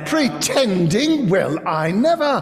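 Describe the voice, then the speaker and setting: Using a put-on character voice, a female-sounding speaker with fairly high pitch makes very wide pitch swings over clear background noise. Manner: indignant.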